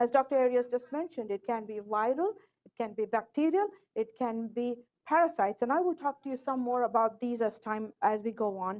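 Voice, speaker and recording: High pitch from a woman with lively intonation at a fairly quick pace. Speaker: ophthalmologist giving a lecture. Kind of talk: lecture. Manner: fast.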